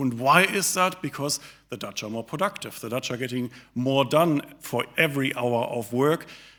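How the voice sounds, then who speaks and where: A man with a German accent, medium pitch, a bright, sharp tone, ordinary pitch variation, and a moderate pace. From Germany. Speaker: think tank director, economist. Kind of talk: speech. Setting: live audience at an event.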